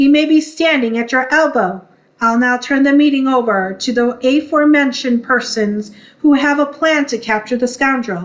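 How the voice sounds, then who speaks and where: A woman's put-on character voice, gruff and growling, high-pitched, at a moderate pace. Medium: read story. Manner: gruff, blustering.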